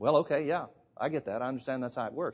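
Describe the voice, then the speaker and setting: The speaker is a man with an Alabama accent. His pitch sits in the medium range. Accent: Southern US (Alabama). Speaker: preacher. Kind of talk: sermon.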